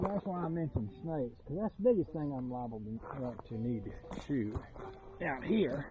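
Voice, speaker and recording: A man's fairly high voice in a Southern US accent, with very wide pitch swings, a moderate pace, and noticeable background noise. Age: 60s. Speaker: YouTuber. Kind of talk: casual vlog monologue. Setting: outdoors.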